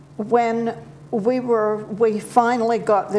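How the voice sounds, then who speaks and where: A woman speaks in a New Zealand accent. Noticeable background noise runs behind her. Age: 70s. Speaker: interview guest. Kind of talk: TV interview.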